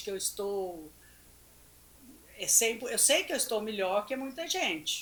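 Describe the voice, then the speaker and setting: This woman has a fairly high pitch, a bright and sharp tone, and very wide pitch swings. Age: 70s. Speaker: nutritionist. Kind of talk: casual chat. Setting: studio.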